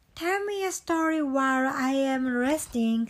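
In a put-on character voice, a female-sounding speaker talks at a fairly slow pace with a high pitch. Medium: read story. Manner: gentle.

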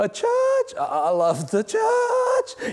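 A squeaky put-on character voice comes through with light background noise. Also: man, extremely high pitch for a man. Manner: evasive, forced cheerful.

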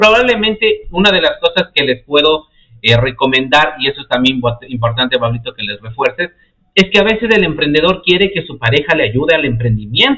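Fairly quick and animated, a man speaks at a fairly high pitch. His voice makes very wide pitch swings. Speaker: podcast host. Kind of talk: live-streamed interview.

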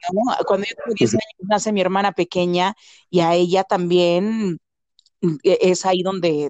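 A woman with a Mexican accent, fairly low in pitch and fairly slow in pace, with a dry, close sound, no echo and a quiet background. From Veracruz, Mexico. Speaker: actress and voice-over artist. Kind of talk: casual interview. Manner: animated.

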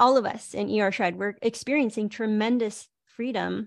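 The speaker is a woman with an unremarkable speaking voice and a fairly high pitch. She talks at a moderate pace over a quiet background. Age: 40s. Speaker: online wellness coach hosting a group call. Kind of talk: live group video call talk.

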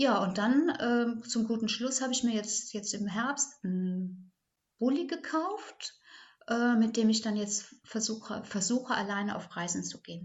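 This woman talks at a fairly slow pace with a somewhat breathy voice and a fairly high pitch. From Ahrtal, Rhineland-Palatinate, Germany. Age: 60s. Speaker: kindergarten teacher. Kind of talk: interview. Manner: halting.

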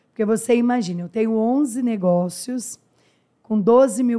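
The tone is dark and mellow, and the pace is fairly slow. The recording is very clean, with a silent background. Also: woman. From interior of São Paulo state, Brazil. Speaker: entrepreneur and dentist. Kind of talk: interview.

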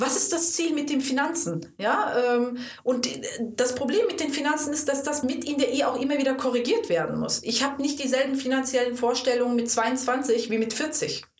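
A woman with a high-pitched voice speaks amid noticeable background noise and audible room echo. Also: ordinary pitch variation, moderate pace. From Germany, Cologne. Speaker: couples counsellor. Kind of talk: interview.

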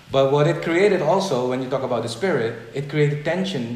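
A man talks at a moderate pace in a fairly high voice with lively intonation. Noticeable background noise sits behind him. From Suriname. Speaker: business consultant and philosopher interviewed for research. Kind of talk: casual interview conversation. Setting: video call.

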